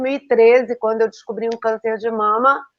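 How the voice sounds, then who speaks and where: A woman's voice over a quiet background. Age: 60s. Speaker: teacher and school owner, numerologist. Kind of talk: casual interview on a live stream. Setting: online live stream.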